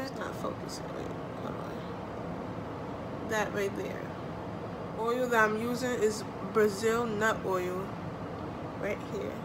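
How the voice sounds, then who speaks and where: Loud background noise surrounds a woman speaking at a very slow pace. She leaves long, frequent pauses. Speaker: hair vlogger. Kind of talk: tutorial. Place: home room. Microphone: phone near.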